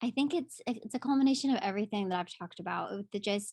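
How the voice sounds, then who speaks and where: A speaker with a strong Southern accent talks with ordinary pitch variation, the sound dry and close with no echo over a quiet background. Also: woman. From US South, Pensacola, Florida. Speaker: musical theatre actress. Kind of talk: casual interview. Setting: video call. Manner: animated.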